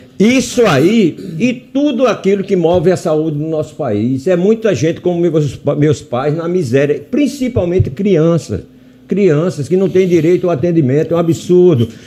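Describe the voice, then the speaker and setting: A man speaks with a high pitch and lively intonation. Background noise is noticeable. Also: moderate pace. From Brazil, Rio Grande do Norte (Natal). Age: 80s+. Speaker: physician and hospital director. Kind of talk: radio interview.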